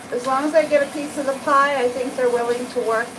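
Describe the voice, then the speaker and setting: With an American accent and a high pitch, a woman talks at a moderate pace amid audible room echo and noticeable background noise. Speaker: cat groomer. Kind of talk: live stream tutorial with chat. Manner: casual, conversational.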